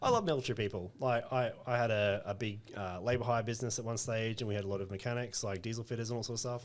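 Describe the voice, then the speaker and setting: A man with an Australian accent talks at a very fast pace with hardly any pauses. His pitch is medium and his intonation fairly even. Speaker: recruitment business owner. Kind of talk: podcast interview. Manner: direct, short and sharp.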